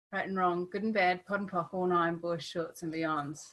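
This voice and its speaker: Her tone is bright and sharp as a woman talks at a moderate pace, her medium pitch showing ordinary variation. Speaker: webinar host and artist. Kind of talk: online workshop webinar. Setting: video call.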